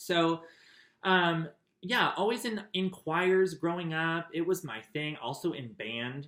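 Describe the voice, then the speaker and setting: A man with an American accent speaks at a fairly high pitch with a bright, sharp tone. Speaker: memoir narrator. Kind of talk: personal storytelling. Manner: casual, with many fillers.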